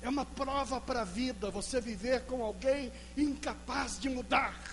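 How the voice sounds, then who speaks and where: Music plays in the background as a man speaks at a fairly slow pace with audible room echo. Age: 60s. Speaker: pastor. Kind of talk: sermon.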